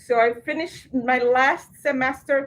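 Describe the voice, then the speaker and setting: A woman talks with a Portuguese accent. Her pitch is high and varies in an ordinary way. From Brazil. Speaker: program director. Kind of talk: orientation presentation. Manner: conversational.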